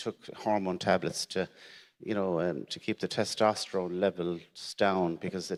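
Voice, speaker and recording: In an Irish accent, a man with a very deep, low pitch speaks at a moderate pace in a monotone, flat intonation, on a very clean recording with a silent background. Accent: Irish, Gaeltacht. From Ireland, Irish-speaking area. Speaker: prostate cancer survivor, panelist. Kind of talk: testimony. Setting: stage with audience. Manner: halting, repeats words.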